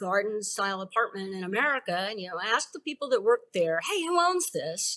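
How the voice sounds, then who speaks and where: Her pitch swings very widely. The voice belongs to a woman. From Texas. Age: 60s. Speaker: investment company founder and author. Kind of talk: podcast interview. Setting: remote recording from her summer house. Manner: casual, conversational with fillers.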